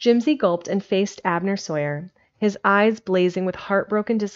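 An unforced reading voice and its ordinary pitch variation

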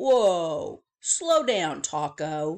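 With a fairly low pitch for a woman, a female-sounding voice performs a put-on character voice. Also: quiet background. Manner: slow.

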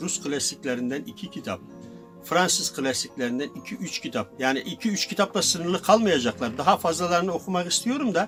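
A high-pitched man's voice with very wide pitch swings at a moderate pace, music in the background. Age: 70s. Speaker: former secondhand bookseller. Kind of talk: interview answer.

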